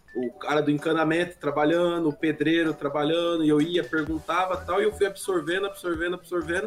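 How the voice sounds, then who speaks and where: Clearly audible background noise sits behind a man talking at a rather brisk speed. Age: 30s. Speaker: gaming YouTuber. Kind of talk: casual chat.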